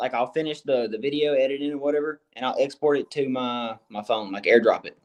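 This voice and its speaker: A man speaks at a moderate pace in an ordinary speaking voice, his pitch fairly high. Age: 20s. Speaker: comedy video creator and musician. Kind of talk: casual podcast chat. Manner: casual, filler-heavy.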